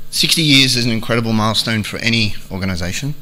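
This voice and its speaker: With an Australian accent, a man talks very fast in a fairly low voice and fairly even intonation, with audible room echo and noticeable background noise. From Australia, Melbourne. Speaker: aviation industry strategy manager. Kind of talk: conference keynote speech.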